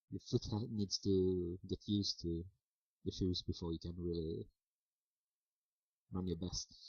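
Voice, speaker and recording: The voice is somewhat breathy and moves at a fairly slow pace, with fairly even intonation and long, frequent pauses. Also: man, very deep, low pitch for a man. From Sweden. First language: Swedish. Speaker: vlogger. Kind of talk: casual monologue to camera. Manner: halting, many fillers.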